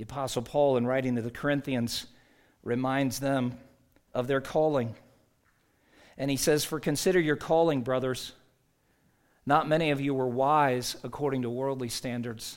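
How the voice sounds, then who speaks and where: A man with an American accent, medium pitch, moderate pace, fairly even intonation, long and frequent pauses, and audible room echo. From US South. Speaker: pastor. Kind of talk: sermon.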